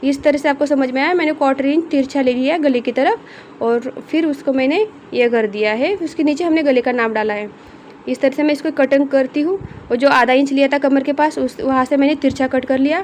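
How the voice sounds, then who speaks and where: A woman with a high pitch speaks at a moderate speed as noticeable noise runs in the background. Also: ordinary pitch variation. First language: not Hindi (speaking Hindi). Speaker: tailoring teacher. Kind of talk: tutorial. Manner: halting.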